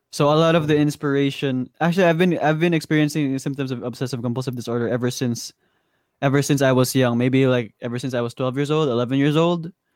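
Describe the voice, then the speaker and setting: On a very clean recording with a silent background, a man with a Visayan Filipino accent speaks at a fairly high pitch with fairly even intonation. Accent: Filipino (Cebuano) English. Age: 20s. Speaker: musician. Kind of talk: casual chat.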